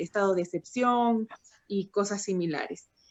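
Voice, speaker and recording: This woman has a normal speaking voice, pitched fairly high, and talks at a moderate pace. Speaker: youth policy panelist, engineer. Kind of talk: panel talk.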